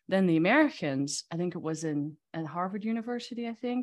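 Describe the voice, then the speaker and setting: A woman speaks with a Dutch accent in a dry, close recording with no echo and a quiet background. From Netherlands. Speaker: magazine CEO and publisher. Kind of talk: casual interview.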